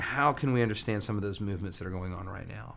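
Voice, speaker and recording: In an American accent, a man speaks with ordinary pitch variation and audible room echo. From US South, Alabama. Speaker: pastor. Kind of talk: casual interview about sermon series.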